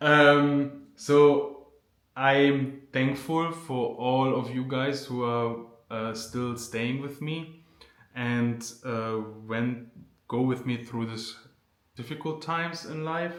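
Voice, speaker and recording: Speaking at a very slow pace with a German accent, a man uses a medium pitch and fairly even intonation amid audible room echo. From Germany. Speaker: vlogger. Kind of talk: casual Q&A vlog. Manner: unscripted, hesitant with fillers.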